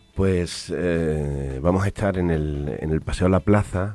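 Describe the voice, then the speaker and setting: Recorded with a dry, close sound and no echo, a man with a very deep, low pitch talks at a fairly slow pace with ordinary pitch variation. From Spain, Extremadura (Almendralejo). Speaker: playwright. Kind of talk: interview. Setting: studio. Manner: halting.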